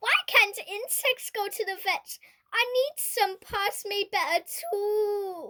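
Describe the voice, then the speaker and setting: In a put-on character voice, the speaker talks at a fairly slow pace. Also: woman, extremely high pitch for a woman. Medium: read story.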